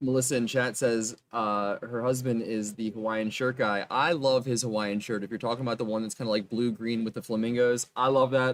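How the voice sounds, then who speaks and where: A medium-pitched man keeps up a fairly quick pace. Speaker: card game tournament commentator. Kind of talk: live commentary. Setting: at live event venue. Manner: loud at times; animated.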